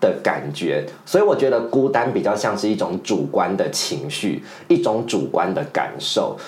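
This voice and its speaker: With audible room echo, a man speaks at a fairly slow pace and hardly any pauses. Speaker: podcast co-host and teacher. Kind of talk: casual chat.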